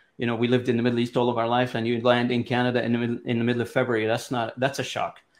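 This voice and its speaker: The speech comes at a very fast pace with an Arabic accent. The intonation is monotone and flat. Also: man, medium pitch for a man. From Lebanon. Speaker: business executive. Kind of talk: interview.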